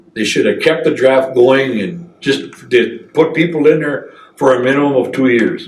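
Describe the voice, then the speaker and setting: A man speaks with an American accent, and the room echo is audible. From northern Wisconsin. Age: 60s. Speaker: military veteran. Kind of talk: oral history interview. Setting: veterans center. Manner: halting, many fillers.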